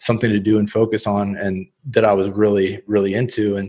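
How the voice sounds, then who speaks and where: A man with an American accent speaks fairly quickly in a fairly low voice on a very clean recording with a silent background. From US, central Oregon. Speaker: professional poker player. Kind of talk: interview.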